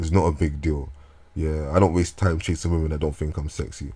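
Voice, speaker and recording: Somewhat breathy, a man's voice sits at a very deep, low pitch. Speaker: vlogger. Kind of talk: casual monologue. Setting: talking into a microphone at home. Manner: halting.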